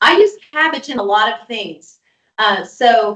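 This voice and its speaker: Her pitch is high. The woman speaks with lively intonation. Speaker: registered dietitian. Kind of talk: webinar presentation. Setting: online webinar.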